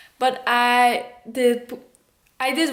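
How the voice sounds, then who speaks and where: A woman with a Dutch accent speaks in a high voice. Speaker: vlogger, homeschooling mother. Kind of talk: casual vlog talk. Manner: halting.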